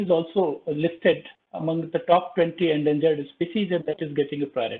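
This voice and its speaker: A man with a high pitch. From India. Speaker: government wildlife official. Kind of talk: formal presentation; lecture and panel remarks. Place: home room. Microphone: video call.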